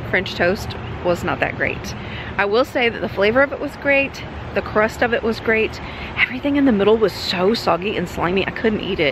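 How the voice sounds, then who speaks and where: Over noticeable background noise, a woman speaks with lively intonation in a dry sound with no echo. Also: moderate pace. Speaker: travel vlogger. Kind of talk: casual vlog chat. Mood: cheerful, chatty food review. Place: street. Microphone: phone near.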